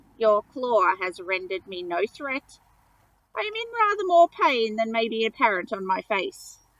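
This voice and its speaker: Putting on a croaky character voice, a woman talks at a moderate pace with a fairly high pitch and lively intonation. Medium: read story. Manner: formal, precise.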